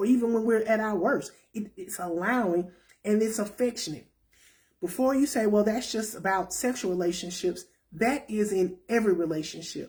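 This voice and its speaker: A woman speaks at a moderate pace in a somewhat breathy voice with a dark, mellow tone and ordinary pitch variation. The recording is very clean, with a silent background. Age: 50s. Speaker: self-help talk show host. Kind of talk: casual talk to viewers.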